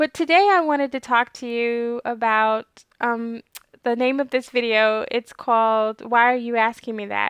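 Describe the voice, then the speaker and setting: Over a quiet background, a soft-spoken woman with a fairly high pitch talks at a moderate pace in a dry, close sound with no echo. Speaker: clinical research trainer and video host. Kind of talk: informational talk to camera.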